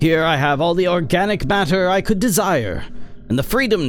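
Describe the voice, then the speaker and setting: Over clear background noise, a man performs a put-on character voice in a theatrical tone. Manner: manic, theatrical.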